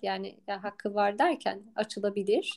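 The woman's dark, mellow tone carries along at a moderate pace. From Istanbul, Turkey. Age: 30s. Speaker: cycling coach and former national athlete. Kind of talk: casual interview. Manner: hesitant, many filler sounds.

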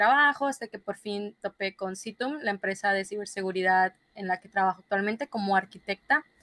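A woman with a northern Mexican accent, fairly high pitch and a bright, sharp tone, at a moderate pace, dry with no echo and a quiet background. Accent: northern Mexican (Sinaloa). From northern Mexico, Culiacán, Sinaloa; Sinaloa, Mexico. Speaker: software engineer, cybersecurity specialist; guest. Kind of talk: interview. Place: home room. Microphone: video call.

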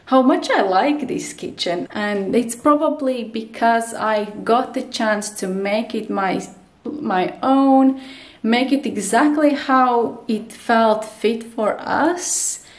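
Ordinary pitch variation marks a woman's speech at a very slow pace. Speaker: home vlogger. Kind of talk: casual vlog chat. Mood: relaxed, friendly. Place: kitchen. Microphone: phone near.

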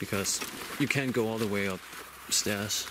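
A man talks fairly slowly, the sound dry with no echo but with noticeable background noise. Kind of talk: casual vlog chat. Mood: tense, hushed. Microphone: phone near.

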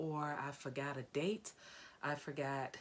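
This woman has a very deep, low voice. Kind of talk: casual vlog chat. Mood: warm, sombre in tribute. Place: home room. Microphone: phone near.

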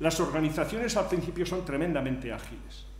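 There is audible room echo around a man with a fairly high pitch and ordinary pitch variation. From Spain. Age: 60s. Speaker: engineer and entrepreneur; conference speaker. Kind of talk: conference talk. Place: hall. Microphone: podium.

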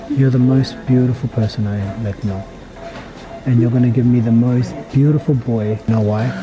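A man at a moderate pace with fairly even intonation, over clear music in the background. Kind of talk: tender casual talk. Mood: warm, emotional, joking. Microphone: phone near.

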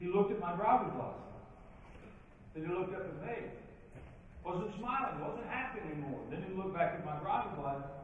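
Over light background noise and strong room echo, a man with a high voice talks at a fairly quick pace with lively intonation. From western Kentucky (Princeton, Caldwell County). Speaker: professional speaker and leadership trainer. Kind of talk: keynote speech. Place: hall.

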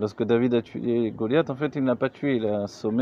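At a moderate pace, a man talks with ordinary pitch variation, a dry sound with no echo, and light background noise. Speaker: religious teacher. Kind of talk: lecture. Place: tent. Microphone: phone near.

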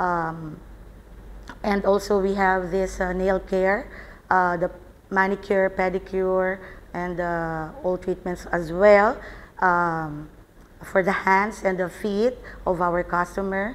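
At a very slow pace broken by long, frequent pauses, a woman with a Filipino accent speaks in a monotone, flat intonation. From Philippines. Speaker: salon owner and nurse. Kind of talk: interview. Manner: halting. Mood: earnest, reflective. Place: home room. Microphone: lapel.

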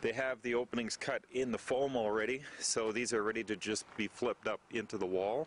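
Intonation stays fairly even, and the speech runs at a fairly quick pace. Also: man, fairly low pitch for a man.

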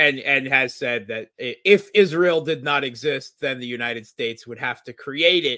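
Against a quiet background, a man speaks fairly slowly in a bright, sharp tone with ordinary pitch variation and a dry sound with no echo. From US, Scranton/Wilkes-Barre, Pennsylvania; Pennsylvania. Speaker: international relations analyst. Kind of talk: interview discussion. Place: home room.

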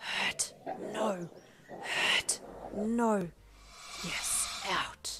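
In a put-on character voice, a female-sounding speaker at medium pitch hisses and growls. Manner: hissing, growling, agitated.

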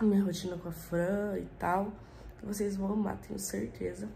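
With a medium pitch and a dark, mellow tone, a woman speaks with vocal fry. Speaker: family vlogger. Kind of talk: vlog talk to camera. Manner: animated.

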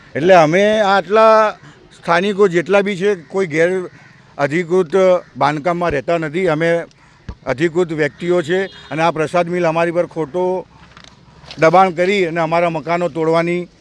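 Through noticeable background noise, a man speaks in a high voice with fairly even intonation. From Ahmedabad, Gujarat, India. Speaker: resident tenant. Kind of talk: street interview.

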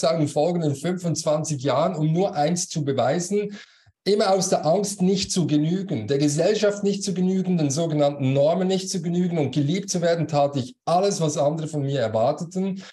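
Speaking with hardly any pauses, a man has a high pitch and a dark, mellow tone. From Switzerland. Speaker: business coach and former manager; business coach. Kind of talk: interview. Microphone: video call.

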